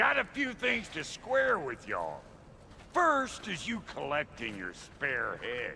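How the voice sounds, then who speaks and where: A put-on character voice drawls in a Southern US accent at a fairly slow pace. Background noise is clearly audible. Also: man. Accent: Southern American drawl. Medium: video game. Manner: drawling, crude.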